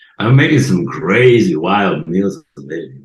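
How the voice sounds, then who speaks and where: A man talks with very wide pitch swings. His voice carries vocal fry. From Sicily, Italy. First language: Italian (Sicilian). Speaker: podcast guest. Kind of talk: casual interview. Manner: halting.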